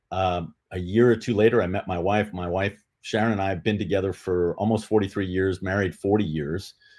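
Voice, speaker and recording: Over a quiet background, a man talks at a fairly quick pace with hardly any pauses, using an unremarkable speaking voice with fairly low pitch and fairly even intonation. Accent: American. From New York City. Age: 60s. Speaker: retired law enforcement officer, literacy advocate. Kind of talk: interview.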